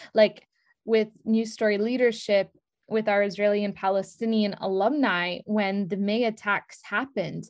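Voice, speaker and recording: In a quiet background, a woman with an American accent speaks at a fairly slow pace. Her pitch is medium and her intonation fairly even. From US, Brooklyn, New York. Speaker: nonprofit director. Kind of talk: interview.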